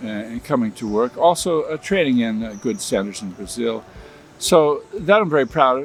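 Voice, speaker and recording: Fairly quick speech with lively intonation comes in an American accent. Music plays in the background. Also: man. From US Midwest, Michigan. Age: 70s. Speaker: linguist and researcher. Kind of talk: interview. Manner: halting, many fillers.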